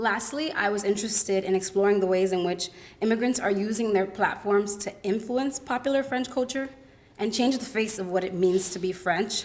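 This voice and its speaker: Noticeable background noise can be heard. The delivery moves at a fairly quick clip. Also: woman, medium pitch for a woman, ordinary pitch variation. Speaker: college student presenter. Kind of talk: academic presentation. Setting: symposium with audience.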